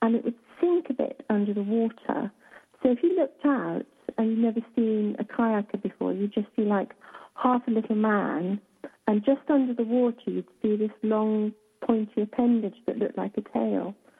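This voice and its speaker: A woman at a fairly high pitch with a British accent. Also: ordinary pitch variation. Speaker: author, radio guest. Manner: slow, unhurried speech.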